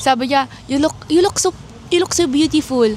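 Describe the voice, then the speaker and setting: A woman speaks in a high pitch at a moderate pace with ordinary pitch variation. Noticeable background noise can be heard. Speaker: vlogger. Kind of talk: casual vlog chat. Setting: outdoors outside hotel.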